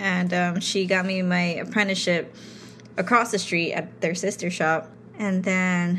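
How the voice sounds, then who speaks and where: A woman speaks in an ordinary speaking voice at medium pitch. Her pace is moderate and her intonation fairly even. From New York City. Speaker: tattoo artist. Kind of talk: casual chat.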